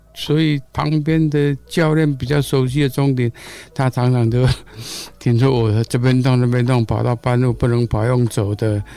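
A man's unremarkable speaking voice, medium in pitch, at a moderate pace, with fairly even intonation and very even loudness. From Taiwan, Gongliao, New Taipei. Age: 60s. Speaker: blind runner. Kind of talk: interview.

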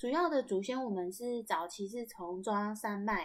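Very clean audio of a woman, with a silent background. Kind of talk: casual storytelling monologue.

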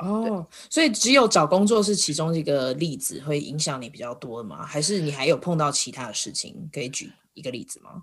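A woman's very deep, low voice shows very wide pitch swings and big swings in loudness in a very clean recording with a silent background. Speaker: podcast host. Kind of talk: casual interview chat. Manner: laughs a lot.

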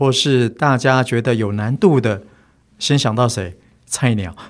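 A man's plain, everyday voice, medium in pitch, with ordinary pitch variation and a fairly slow pace, on a very clean recording with a silent background. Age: 40s. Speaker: bookstore owner, former forest ranger. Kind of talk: casual interview chat.

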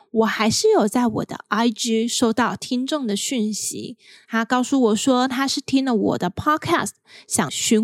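In a very clean recording with a silent background, the sound is dry and close, with no echo. A woman with a Taiwanese accent speaks at a very slow pace, her pitch fairly high with ordinary variation. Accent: Taiwanese Mandarin. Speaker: podcast host. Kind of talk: solo podcast monologue.

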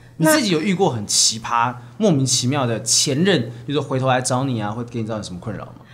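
Noticeable background noise sits beneath the talking. The delivery is very fast, with lively intonation. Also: man, medium pitch for a man. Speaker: stand-up comedian and podcast co-host. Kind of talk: casual chat.

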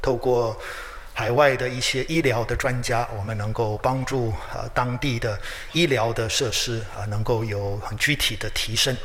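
Here a man speaks at a fairly slow pace and medium pitch. Audible room echo and noticeable background noise accompany him. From Taiwan (Taichung). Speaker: pastor. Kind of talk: sermon. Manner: frequent hesitation fillers.

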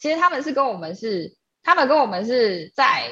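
Very wide pitch swings mark this woman's voice. She talks at a fairly slow pace. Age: 30s. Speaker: energy painting artist, gallery founder. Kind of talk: casual interview chat.

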